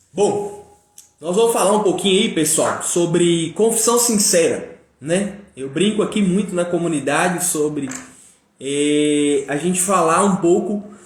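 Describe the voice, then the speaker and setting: The speech goes at a fairly slow pace with ordinary pitch variation, and audible room echo. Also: man, high pitch for a man. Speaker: live stream speaker on personal growth. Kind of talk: live stream talk. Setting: live stream. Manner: casual, filler-heavy.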